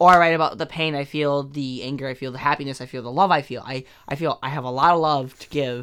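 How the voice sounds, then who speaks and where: Fairly high male voice, fairly quick and fairly even in intonation, with a bright, sharp tone on a very clean recording with a silent background. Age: 20s. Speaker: student and aspiring slam poet. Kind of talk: casual chat.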